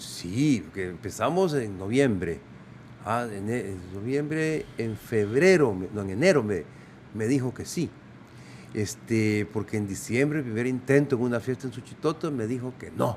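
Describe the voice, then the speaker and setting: A man with an ordinary speaking voice talks at a fairly slow pace with lively intonation. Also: medium pitch for a man. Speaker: former Olympic judoka, sports physician and radio voice performer. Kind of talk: casual interview answer.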